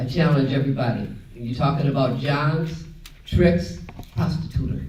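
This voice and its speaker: A man's voice shows ordinary pitch variation amid noticeable background noise and audible room echo. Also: fairly high pitch for a man, moderate pace. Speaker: panelist, anti-prostitution activist. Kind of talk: conference panel Q&A.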